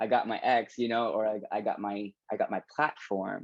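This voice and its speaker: A quiet background, and a man talking at a fairly slow pace. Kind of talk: panel discussion. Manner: halting, many restarts.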